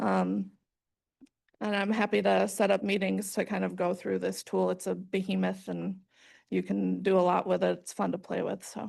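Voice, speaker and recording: A woman's speech proceeds at a moderate pace, and the background stays quiet. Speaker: regional planning agency staff presenter. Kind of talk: presentation.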